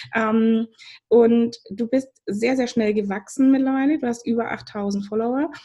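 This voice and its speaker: A woman's dark, mellow tone, fairly high in pitch, at a fairly slow pace with fairly even intonation. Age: 30s. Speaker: podcast host, business coach. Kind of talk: podcast interview.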